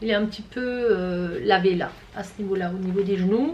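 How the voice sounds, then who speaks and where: Ordinary pitch variation and a moderate pace mark this woman's speech. The recording carries noticeable background noise and audible room echo. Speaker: fashion haul youtuber. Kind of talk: product review. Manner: loud; casual. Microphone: far from the camera.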